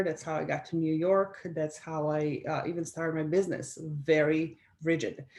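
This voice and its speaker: At a moderate pace, a woman speaks in a Slovenian accent. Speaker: life coach and business strategist, former professional athlete. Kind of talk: interview.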